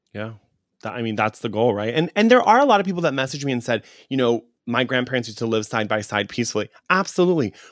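A medium-pitched man at a very fast pace, animated in tone, with lively intonation. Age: 30s. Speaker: podcast host. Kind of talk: casual chat.

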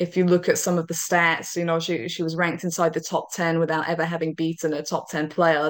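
Fairly quick speech in a British accent, with monotone, flat intonation. The recording is very clean, with a silent background. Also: woman. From Britain. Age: young. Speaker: tennis commentator. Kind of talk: casual interview chat.

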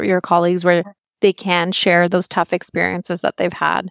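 A woman's voice is heard in a very clean recording with a silent background, the sound dry and close with no echo. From Pakistan and Singapore. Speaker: healthcare equity program manager. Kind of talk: casual chat.

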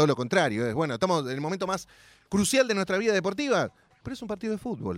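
A man's voice with very wide pitch swings. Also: very clean recording, silent background. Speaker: radio host. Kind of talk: casual chat.

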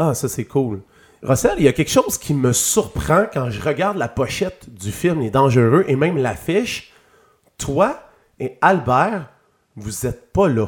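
At a fairly slow pace, a man speaks in a somewhat breathy, fairly high voice whose pitch swings very widely. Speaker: podcast host. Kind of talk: interview.

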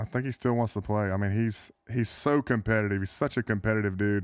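Over a quiet background, a man speaks very fast at a fairly low pitch with ordinary pitch variation. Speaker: former NFL tight end. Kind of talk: interview. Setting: studio.

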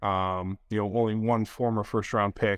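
This is a plain, everyday voice at a moderate pace. The intonation is fairly even. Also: man. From Detroit area, Michigan. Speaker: former NFL player. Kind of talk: casual chat.

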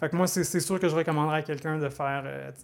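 In a Quebec accent, a man speaks with monotone, flat intonation at a fairly high pitch. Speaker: data scientist. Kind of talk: casual interview. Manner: halting, repeats words.

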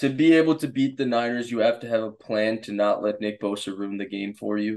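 A man talks at medium pitch with a plain, everyday voice. The background is quiet. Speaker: football analyst. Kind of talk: casual chat.

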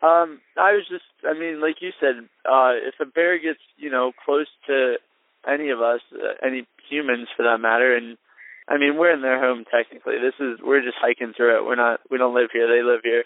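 A man with a medium pitch and an American accent, a normal speaking voice, moderate pace and ordinary pitch variation. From New Jersey. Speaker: thru-hiker. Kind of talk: interview. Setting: outdoors in a tent.

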